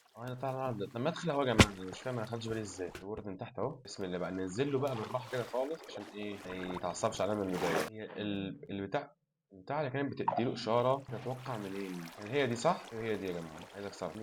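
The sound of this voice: A man's fairly low voice at a very fast pace. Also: ordinary pitch variation.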